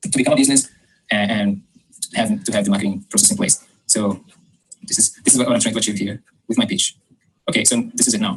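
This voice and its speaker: A man at a very fast pace, broken by long, frequent pauses. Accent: non-native. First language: not English. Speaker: coaching client, marketing consultant. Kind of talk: explaining his pitch. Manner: halting.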